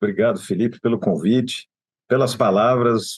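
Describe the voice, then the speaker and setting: Here a man is speaking. His pace is moderate. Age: 60s. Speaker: trade association executive. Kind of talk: interview.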